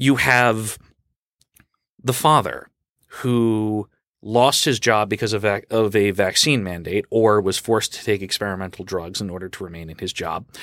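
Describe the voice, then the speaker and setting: With an American accent, a man speaks in an unremarkable speaking voice at a moderate pace, his pitch fairly low with ordinary variation, over a very clean recording with a silent background. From Long Island, New York. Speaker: political club advisor. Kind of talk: interview.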